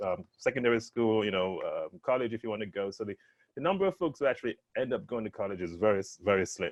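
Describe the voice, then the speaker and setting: With a Jamaican accent, a man speaks at a very fast pace. His pitch is medium and his intonation lively. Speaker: life science panelist. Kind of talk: panel discussion. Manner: halting, many repeated words.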